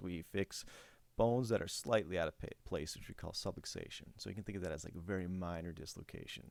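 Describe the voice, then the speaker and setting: Mumbling at a very fast pace, a man with a very deep, low voice shows ordinary pitch variation. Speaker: chiropractor. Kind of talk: educational presentation. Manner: halting.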